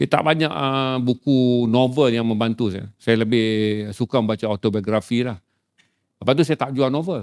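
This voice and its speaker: This man has an unremarkable speaking voice, medium in pitch, with ordinary pitch variation, and he keeps a moderate pace. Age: 50s. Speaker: author and publisher. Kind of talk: casual chat.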